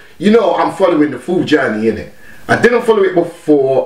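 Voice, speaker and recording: Audible room echo surrounds a man speaking with ordinary pitch variation. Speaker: music reaction vlogger. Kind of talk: casual reaction commentary. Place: home room.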